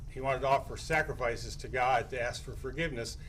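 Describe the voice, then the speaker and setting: This man talks at a fairly quick pace with an American accent. Room echo is audible. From California. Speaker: pastor. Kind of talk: public comment at council meeting. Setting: city council meeting. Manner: halting.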